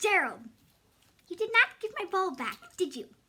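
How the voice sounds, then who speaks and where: A woman performs a cartoonish character voice at an extremely high pitch. Her pitch swings very widely, and her pace is moderate. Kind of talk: puppet story reading.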